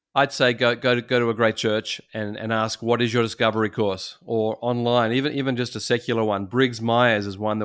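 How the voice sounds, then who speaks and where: On a very clean recording with a silent background, a man with an Australian accent talks at a fairly quick pace in a medium pitch. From Sydney, Australia. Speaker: pastor. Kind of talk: interview. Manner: halting, many repeated words.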